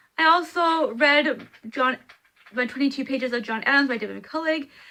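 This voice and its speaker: In a raised, projected voice, a woman speaks at a moderate pace, her high pitch bright and sharp in tone, with ordinary pitch variation. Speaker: book vlogger. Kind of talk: casual vlog. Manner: halting, stumbling over words.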